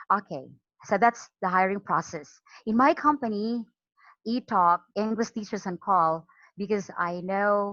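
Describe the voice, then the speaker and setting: Against a quiet background, a woman talks at a fairly slow pace with a slight Filipino accent. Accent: Filipino regional accent, slight. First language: Cebuano. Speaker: online English teacher. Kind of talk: training talk. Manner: halting, frequent repetitions.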